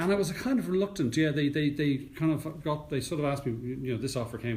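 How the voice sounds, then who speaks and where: Somewhat breathy male voice in an Irish accent, very fast, with lively intonation. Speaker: news anchor and radio presenter. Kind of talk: interview answer. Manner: calm, composed.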